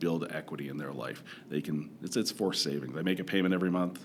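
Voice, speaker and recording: In a Canadian accent, a man talks very fast with a very deep, low pitch. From Canada, Toronto. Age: 40s. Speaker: credit counsellor. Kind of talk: podcast interview.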